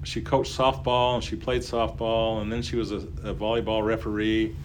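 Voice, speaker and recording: A man speaks at a moderate pace. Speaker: public address announcer. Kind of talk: casual interview with reminiscences. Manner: animated, announcer-style delivery.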